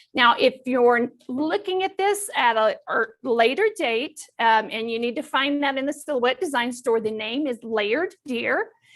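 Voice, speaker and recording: With a Southern US accent, a woman talks at a high pitch and a fairly slow pace, with lively intonation and hardly any pauses. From Texas. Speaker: crafting instructor. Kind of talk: tutorial. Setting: studio.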